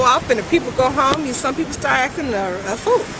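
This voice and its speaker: A woman with an American accent speaks fairly quickly at a high pitch, her voice making very wide pitch swings. Noticeable background noise is present. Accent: American accent noticed by Jamaicans. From California. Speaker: reggae singer. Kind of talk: interview. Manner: halting.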